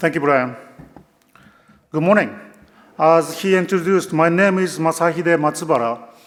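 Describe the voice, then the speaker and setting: With a Japanese accent, a man speaks in a high pitch at a moderate pace, taking long, frequent pauses. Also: ordinary pitch variation. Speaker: company executive. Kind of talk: conference keynote.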